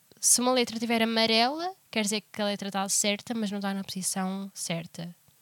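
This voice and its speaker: A woman speaks with a plain, everyday voice. Her pitch varies in an ordinary way. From Portugal. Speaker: podcast co-host. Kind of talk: casual chat.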